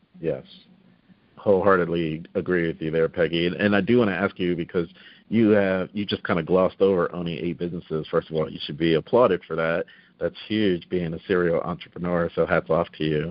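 A man with a very deep, low pitch talks at a fairly quick pace with fairly even intonation. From South Jersey. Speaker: podcast host. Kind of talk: casual interview.

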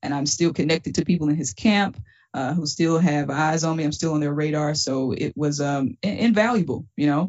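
The speaker has a Southern US accent and moves at a fairly quick pace. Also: woman, very deep, low pitch for a woman, ordinary pitch variation. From Mississippi. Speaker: stand-up comedian. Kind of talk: casual interview.

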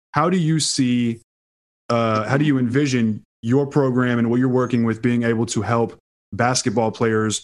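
A normal speaking voice from a man, medium in pitch, at a moderate pace with fairly even intonation. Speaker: podcast host. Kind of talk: casual interview chat.

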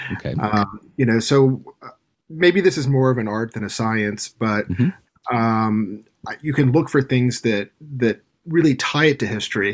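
Ordinary pitch variation and a fairly slow pace in a plain, everyday voice. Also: man, medium pitch for a man. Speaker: game publisher guest. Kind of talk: casual interview chat. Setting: video call from Tokyo.

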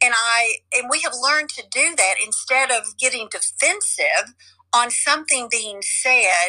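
A woman with a Southern US accent, at a fairly slow pace. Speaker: coach and online seller. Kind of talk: casual chat.

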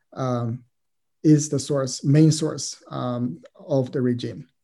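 A man with a Chinese accent, medium pitch, a dark, mellow tone and fairly even intonation. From China. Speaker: former prisoner and history doctoral candidate. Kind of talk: interview. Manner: halting, many fillers.

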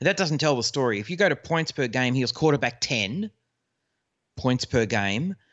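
With an Australian accent, a man talks at a moderate pace and medium pitch with lively intonation. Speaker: fantasy football podcaster. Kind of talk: casual chat.

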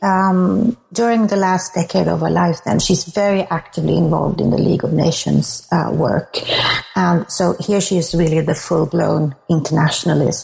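A woman with a Swedish accent at a moderate pace, amid noticeable background noise. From Sweden. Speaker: author and academic. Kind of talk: interview.

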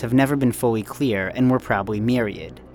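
Over music in the background, a man with an American accent talks at a fairly quick pace with ordinary pitch variation. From United States. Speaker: journalist. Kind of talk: scripted narration.

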